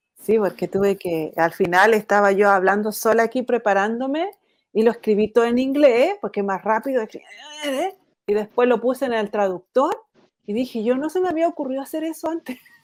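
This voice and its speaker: A woman's plain, everyday voice, fairly high and lively in intonation, at a fairly quick pace. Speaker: guest speaker. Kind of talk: casual live chat. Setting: live online broadcast.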